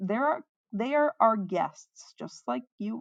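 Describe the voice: A woman uses a put-on character voice, fairly high with lively intonation and vocal fry. She speaks slowly, and the sound is dry and close with no echo.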